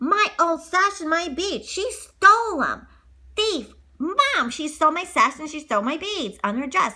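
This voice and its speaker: A woman puts on a character voice at an extremely high pitch. Her pitch swings very widely, her loudness varies a lot, and her pace is moderate. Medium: read story. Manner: whiny, sneering.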